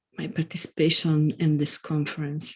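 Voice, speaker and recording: A woman's voice, dark and mellow in tone, comes across somewhat breathy. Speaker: academic keynote speaker. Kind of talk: conference keynote lecture.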